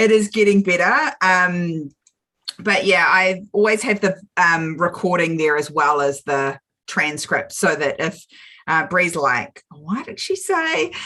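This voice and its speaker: A woman's very slow speech in a bright, sharp tone with a New Zealand accent. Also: medium pitch for a woman, ordinary pitch variation. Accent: Kiwi. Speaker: small business coach. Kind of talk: live video chat.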